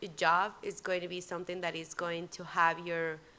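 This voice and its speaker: In a very clean recording with a silent background, a woman with a Spanish accent speaks at a fairly slow pace in a fairly low voice with a bright, sharp tone and flat, monotone intonation. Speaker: immigration law worker. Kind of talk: panel talk. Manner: halting.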